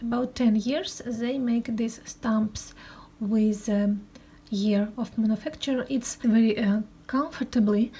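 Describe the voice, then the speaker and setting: A woman with a Russian accent talks at a very slow pace, her pitch fairly high and her intonation fairly even. Her tone is dark and mellow, and somewhat breathy. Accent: Russian, non-fluent English. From Russia, Moscow. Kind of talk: show-and-tell presentation. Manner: halting, many hesitations.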